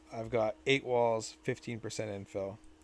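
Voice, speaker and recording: Speech comes at a fairly slow pace with music in the background. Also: man. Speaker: 3D printing tutorial maker. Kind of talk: tutorial. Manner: stuttering; casual, halting. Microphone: new mic.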